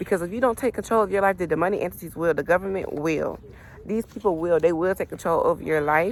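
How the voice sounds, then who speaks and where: The speaker rattles along at a very fast pace in an animated tone with ordinary pitch variation. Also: woman, medium pitch for a woman. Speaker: tarot reader. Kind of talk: spiritual reading vlog. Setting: outdoors.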